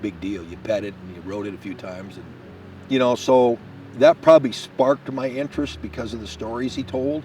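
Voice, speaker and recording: Against noticeable background noise, a man at medium pitch speaks at a fairly quick pace with lively intonation and big swings in loudness. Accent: American. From Washington state. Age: 60s. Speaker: hunting guide. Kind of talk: interview testimony. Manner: casual, conversational.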